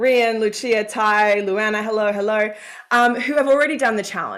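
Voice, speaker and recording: A woman's fairly high voice in an Australian accent. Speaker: career coach. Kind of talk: live coaching call. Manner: animated.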